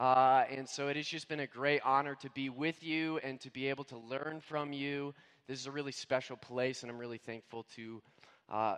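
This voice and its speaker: A man with an American accent speaks at a moderate pace in an ordinary speaking voice, his pitch medium and his intonation fairly even while his loudness swings widely. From US Midwest/Northeast (Indiana, Scranton Pennsylvania). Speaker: guest preacher. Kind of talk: sermon.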